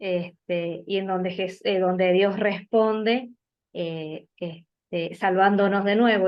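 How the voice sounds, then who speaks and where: A woman with an Argentine accent speaks at a medium pitch in a flat, monotone way. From Argentina, Mendoza. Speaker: bible study participant. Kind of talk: group discussion.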